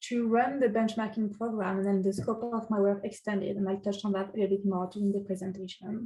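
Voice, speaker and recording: A woman with a French accent talks at a fairly quick pace, her medium-pitched voice dark, mellow and somewhat breathy. Her intonation is monotone and flat. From France. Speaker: city energy advisor. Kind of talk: webinar self-introduction. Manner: hesitant, many fillers.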